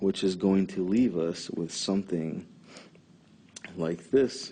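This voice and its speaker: A man's voice comes through at a very deep, low pitch. He speaks at a very slow pace. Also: ordinary pitch variation. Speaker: chemistry tutor. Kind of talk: educational lecture explaining a mechanism. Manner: occasional stutter.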